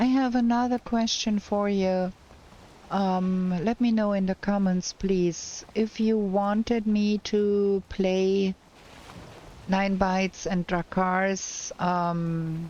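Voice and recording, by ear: Her tone is slightly mellow, her pitch medium and her intonation fairly even. This woman speaks at a slow pace.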